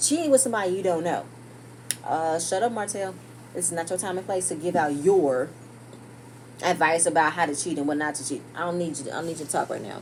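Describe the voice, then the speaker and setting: Animated in tone and at a very fast pace, the speech has long, frequent pauses and ordinary pitch variation, with noticeable background noise. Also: woman, fairly low pitch for a woman. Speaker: TV show reviewer. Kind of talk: casual recap commentary.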